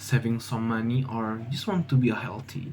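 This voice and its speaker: A man with an Indonesian accent speaks at a fairly slow pace in a dark, mellow, somewhat breathy tone. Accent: Indonesian, non-native English. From Indonesia (Jambi, Sumatra). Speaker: university student vlogger. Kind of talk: casual vlog monologue. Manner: halting, many fillers and restarts.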